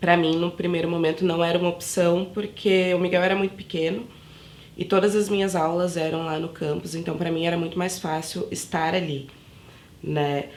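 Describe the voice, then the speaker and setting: Her voice sits fairly low for a woman, with fairly even intonation and a moderate pace. Long, frequent pauses break her speech, and the room echoes audibly. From São Paulo outskirts, Brazil. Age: 20s. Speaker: university student, mother. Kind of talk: documentary interview.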